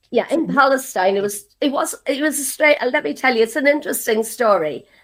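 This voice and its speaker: In an Irish accent, a woman speaks at a moderate pace with very wide pitch swings. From Ireland. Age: 70s. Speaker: activist. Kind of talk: interview testimony.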